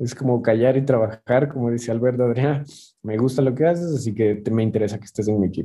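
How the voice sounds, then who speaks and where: A man talks at a very fast pace. His tone is dark and mellow, with ordinary pitch variation. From Ecuador. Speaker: chef. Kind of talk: interview. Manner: halting, many repetitions.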